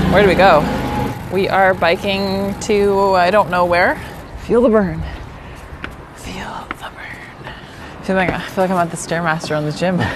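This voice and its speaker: Moderate pacing broken by long, frequent pauses, with noticeable background noise. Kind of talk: casual vlog chat. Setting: outdoors.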